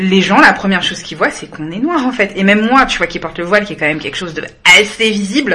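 Talking at a very fast pace, a woman at medium pitch uses lively intonation and big swings in loudness over noticeable background noise. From France, Malian heritage. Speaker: podcast co-host. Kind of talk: casual interview.

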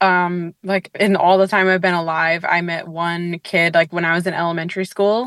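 In a normal speaking voice, a woman talks at a medium pitch and a moderate pace, with a dry, close sound and no echo. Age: 30s. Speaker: leap day birthday interviewee. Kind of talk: casual interview.

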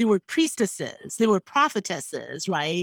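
A woman with a Nigerian accent at a moderate pace, in a very clean recording with a silent background. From Nigeria (Igbo). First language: Igbo. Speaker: history professor. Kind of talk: interview.

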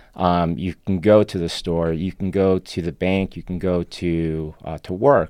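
A man's very deep, low voice, dark and mellow in tone, with fairly even intonation against a quiet background. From Argentina, Buenos Aires. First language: Spanish. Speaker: political organizer. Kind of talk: debate. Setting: studio.

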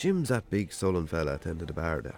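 A man's put-on character voice, low and slightly mellow, with vocal fry, big pitch swings and a fast pace

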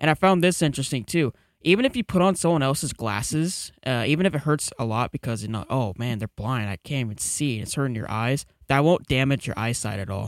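A man speaks in a plain, everyday voice at medium pitch. His intonation is lively and his pace fairly quick. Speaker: podcast co-host. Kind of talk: casual chat.

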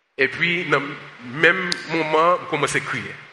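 Background noise is noticeable. The man's voice is pitched fairly high. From United States. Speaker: pastor and social justice activist. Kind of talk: sermon. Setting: church service with congregation, also streamed online.

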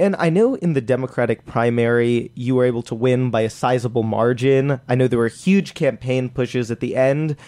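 A man with an unremarkable speaking voice talks fairly quickly at a medium pitch with ordinary pitch variation. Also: hardly any pauses. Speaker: student podcast host. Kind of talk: interview. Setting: studio.

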